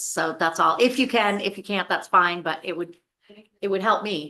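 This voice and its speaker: Loud and at a moderate pace, a woman speaks with a bright, sharp tone and ordinary pitch variation. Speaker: state legislator. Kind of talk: committee hearing discussion. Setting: legislative committee room. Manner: halting.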